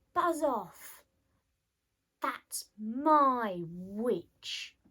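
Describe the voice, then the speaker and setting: A woman puts on a character voice that is shrill and fairly high. It turns croaky and growling as well. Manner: menacing, defiant.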